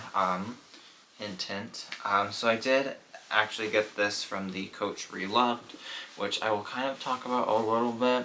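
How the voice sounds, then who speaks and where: Noticeable background noise sits behind a man at a moderate pace. He keeps a medium pitch with fairly even intonation. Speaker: fashion YouTuber reviewing handbags. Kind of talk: casual product review vlog. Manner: slurring words; hesitant, many fillers.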